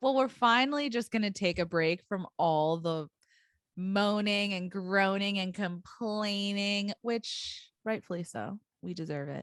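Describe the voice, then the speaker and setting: Against a quiet background, a woman speaks at a fairly slow pace and medium pitch with ordinary pitch variation, the sound dry and close with no echo. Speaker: teacher podcast co-host. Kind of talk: casual chat.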